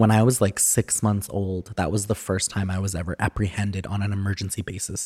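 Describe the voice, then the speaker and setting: Fairly low in pitch, a man speaks at a fairly quick pace with hardly any pauses, his tone dark, mellow and somewhat breathy. His intonation is monotone and flat, and the sound is dry and close with no echo. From Alberta, Canada (Edmonton, Cree reserves). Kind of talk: casual interview chat.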